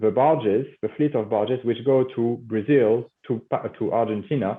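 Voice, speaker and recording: This man talks with lively intonation in a French accent. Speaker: company CEO. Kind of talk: business interview. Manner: halting, many fillers.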